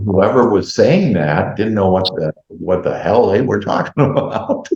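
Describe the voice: Strong room echo surrounds a man whose fairly low, slightly mellow voice has vocal fry and lively intonation at a fairly slow pace.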